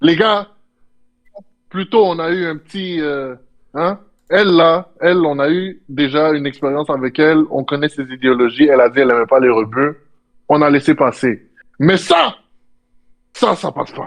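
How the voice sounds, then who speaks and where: Delivered at a fairly slow pace with long, frequent pauses, the speech shows big swings in loudness and ordinary pitch variation. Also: man, fairly high pitch for a man. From Quebec. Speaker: co-host of reaction stream. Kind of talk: casual livestream reaction chat. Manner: animated.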